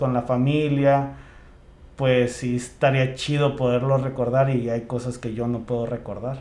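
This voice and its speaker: Audible room echo around a man's fairly slow speech. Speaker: podcast co-host. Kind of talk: casual chat.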